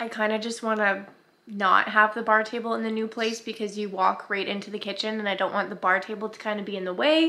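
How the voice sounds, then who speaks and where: A woman's bright, sharp tone at a fairly quick pace, with fairly even intonation. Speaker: family vlogger. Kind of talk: casual vlog chat. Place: home room. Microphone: phone near.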